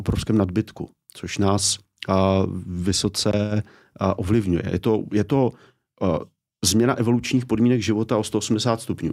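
On a very clean recording with a silent background, a man with a fairly low pitch speaks in fairly even intonation. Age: 40s. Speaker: author and education commentator. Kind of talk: interview conversation. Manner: hesitant with fillers.

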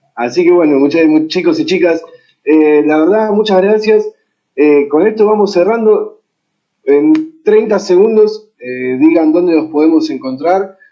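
A man with an Argentine accent speaks at a fairly slow pace with a high pitch and very wide pitch swings. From Argentina. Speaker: panel moderator. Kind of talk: panel moderation.

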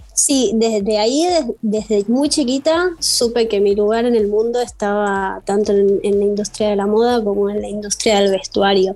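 A woman speaks at a moderate pace in an Argentine accent. Her medium pitch carries a dark, mellow tone and ordinary pitch variation. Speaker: costume and fashion designer. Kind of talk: interview.

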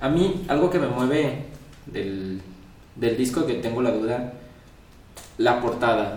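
The recording has noticeable background noise and audible room echo. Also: man. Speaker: podcast host. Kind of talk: casual interview. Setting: home studio, filmed.

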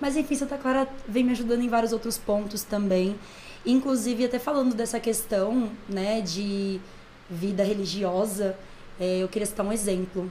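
A woman speaks in a normal speaking voice at a fairly high pitch. Her pace is moderate. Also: ordinary pitch variation. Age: 20s. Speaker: church music and dance minister. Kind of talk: casual chat.

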